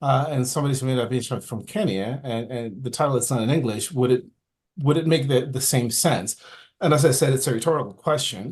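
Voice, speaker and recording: A man talks in a medium-pitched, somewhat breathy voice. His pace is fairly quick, with ordinary pitch variation. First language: not English. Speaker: camera club member. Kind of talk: audience question. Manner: halting, repeats words.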